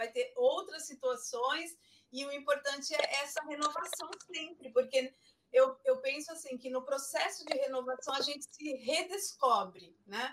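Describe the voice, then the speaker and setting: Moderate pace with ordinary pitch variation. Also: woman. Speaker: online forum host, beautician. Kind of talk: moderated online panel.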